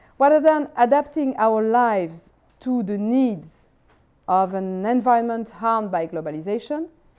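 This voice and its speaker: A woman with a French accent, fairly high-pitched, dark and mellow in tone, at a moderate pace. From France. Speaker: philosopher. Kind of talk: lecture. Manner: formal.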